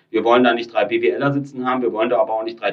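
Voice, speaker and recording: This man talks very fast at a medium pitch, his intonation monotone and flat. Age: 30s. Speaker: startup founder and company builder. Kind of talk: podcast interview.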